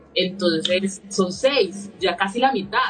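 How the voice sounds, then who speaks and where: A woman with a medium pitch keeps her intonation fairly even while music plays in the background. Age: 30s. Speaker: political candidate. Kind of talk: interview.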